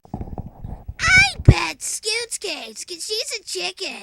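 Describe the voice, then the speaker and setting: This is a squeaky, cartoonish character voice at an extremely high pitch. It moves at a very slow pace. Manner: casual, smug.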